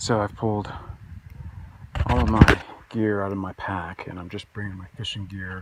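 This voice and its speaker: A man's flat, monotone delivery at a fairly slow pace, with noticeable background noise. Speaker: outdoor vlogger, fly fisher. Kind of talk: casual vlog narration. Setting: outdoors, mountain campsite. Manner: halting, many fillers.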